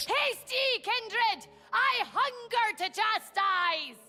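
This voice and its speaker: Music plays behind a put-on character voice pitched extremely high. The delivery is very slow. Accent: Scottish. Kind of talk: archaic, zealous. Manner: angrier, fervent.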